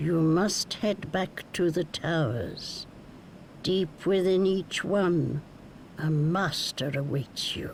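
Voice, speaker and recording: A put-on character voice speaks at a middle pitch and a very slow pace. Background noise is clearly heard. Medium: video game. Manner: knowing, teasing.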